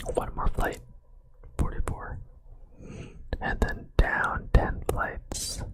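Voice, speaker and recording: The whispering is very slow. Behind it there is noticeable background noise. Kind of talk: ASMR whispered story reading. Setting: close microphone, binaural ear-to-ear recording. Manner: whispered, close-up, soft.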